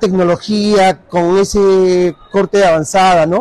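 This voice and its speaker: A high-pitched man, dry sound with no echo, faint music in the background. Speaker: car salesman. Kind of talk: sales product presentation. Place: shop. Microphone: phone near.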